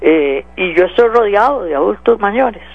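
Lively intonation marks this man's speech at a moderate pace. There is noticeable background noise. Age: 40s. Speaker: radio host. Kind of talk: political talk radio commentary.

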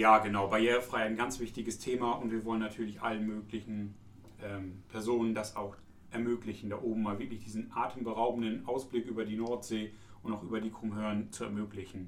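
Noticeable background noise and audible room echo surround this man. He talks at a fairly quick pace and fairly low pitch with monotone, flat intonation. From East Frisia, northern Germany. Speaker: tourism office employee, podcast co-host. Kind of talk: casual chat.

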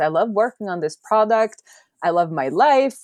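Her pitch is fairly high for a woman. It makes very wide swings as she speaks. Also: quiet background. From Norway. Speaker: software developer and indie hacker. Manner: animated, laughs often.

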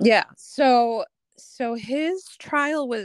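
The recording of this woman, in a US Midwestern accent, sounds dry and close with no echo. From Des Moines, Iowa (US Midwest). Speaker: high school alum. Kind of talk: casual chat. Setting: remote call.

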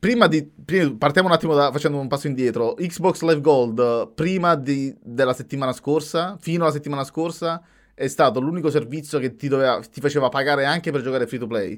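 A fairly high-pitched man's voice in a very clean recording with a silent background. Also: ordinary pitch variation, fairly quick pace. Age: 30s. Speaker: podcast host. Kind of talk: casual chat. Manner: halting.

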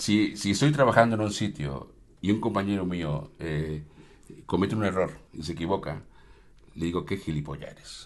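A man speaks with a very deep, low pitch and big swings in loudness. His speech has long, frequent pauses. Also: ordinary pitch variation, moderate pace. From Mexico. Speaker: restaurant owner. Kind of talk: casual interview.

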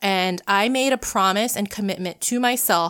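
A woman speaks at medium pitch and a moderate pace with ordinary pitch variation, in a normal speaking voice. The recording is very clean, with a silent background. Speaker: podcast host. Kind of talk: solo podcast monologue. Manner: personal, conversational, earnest.

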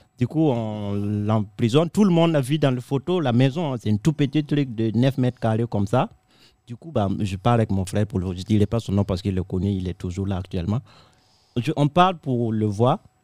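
A man's medium-pitched voice with a dark, mellow tone, fairly quick pace and lively intonation, on a very clean, dry, close recording with a silent background and no echo. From Africa. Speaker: comedian. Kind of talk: casual chat.

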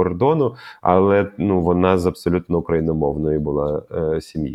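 A speaker with a Russian accent talks at a moderate pace with ordinary pitch variation. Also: man. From Ukraine, Kharkiv. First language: Russian (speaking Ukrainian). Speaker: film director and radio host. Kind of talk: interview.

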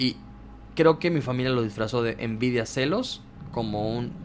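This is a man with a medium pitch. He talks at a fairly slow pace. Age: 20s. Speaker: content creator and comedian. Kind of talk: casual chat. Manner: animated.

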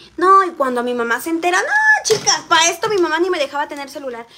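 Speaking in a raised, projected voice with a Mexican accent, a woman talks fairly quickly in an animated tone, her extremely high pitch showing ordinary variation. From Mexico, Xalapa, Veracruz. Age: 20s. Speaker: livestreamer, makeup vlogger. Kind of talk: casual livestream chat.

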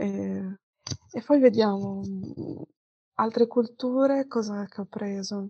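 The delivery is very slow, with long, frequent pauses and fairly even intonation. Loudness swings widely. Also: woman, medium pitch for a woman. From Padua, Veneto, northern Italy. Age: 20s. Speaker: interviewee, student traveller. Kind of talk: interview. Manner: hesitant fillers.

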